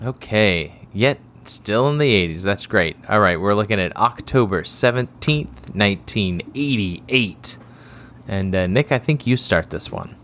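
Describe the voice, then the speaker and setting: A man with a fairly low voice talks at a fairly slow pace, his intonation lively. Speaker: podcast co-host. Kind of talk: casual chat. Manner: quiet tonight.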